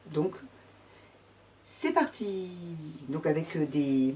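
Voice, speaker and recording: A woman's lively intonation at a very slow pace. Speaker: sewing vlogger. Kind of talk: casual tutorial vlog. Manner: hesitant, many fillers.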